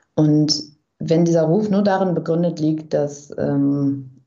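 A woman speaks at a fairly slow pace in a very deep, low voice, with audible echo in the room. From Germany, Bielefeld-Brackwede. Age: 20s. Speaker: journalist and author. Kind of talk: interview. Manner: hesitant, many fillers.

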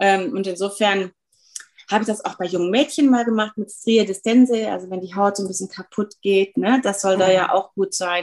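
A woman of medium pitch talks at a moderate pace with fairly even intonation and an ordinary speaking voice. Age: 50s. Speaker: dermatologist. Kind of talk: interview.

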